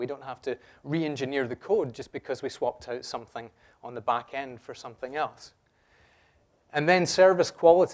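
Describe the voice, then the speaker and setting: On a very clean recording with a silent background, a man with a Scottish accent speaks at a fairly quick pace and fairly high pitch, with ordinary pitch variation. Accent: noticeable Scottish. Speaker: software developer, conference speaker. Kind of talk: conference talk. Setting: stage with audience. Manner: conversational, jokey with audience.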